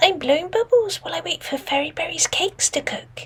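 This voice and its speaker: A squeaky put-on character voice moves along at a fairly quick pace. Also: woman, extremely high pitch for a woman. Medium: read story.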